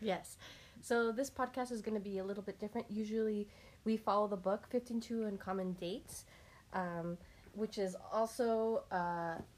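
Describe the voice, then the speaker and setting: A woman's unremarkable speaking voice, fairly high in pitch, with fairly even intonation at a moderate pace. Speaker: podcast host. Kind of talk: casual chat.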